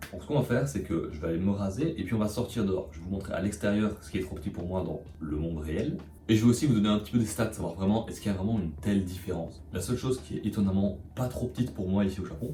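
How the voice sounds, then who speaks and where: Audible room echo surrounds a very fast delivery with lively intonation and hardly any pauses. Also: man, very deep, low pitch for a man. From Belgium. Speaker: vlogger. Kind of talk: vlog narration. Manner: casual.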